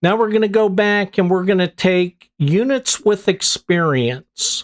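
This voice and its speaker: The speaker uses a Pittsburgh accent. The pace is fairly slow. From US, Pittsburgh. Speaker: gaming youtuber. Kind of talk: gameplay commentary. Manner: casual, conversational with fillers.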